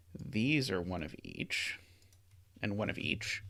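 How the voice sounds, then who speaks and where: A man mumbles at a fairly slow pace, with vocal fry and a bright, sharp tone. His pitch swings very widely. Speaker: sudoku streamer. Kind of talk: live stream puzzle solving. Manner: hesitant, many fillers; mumbling.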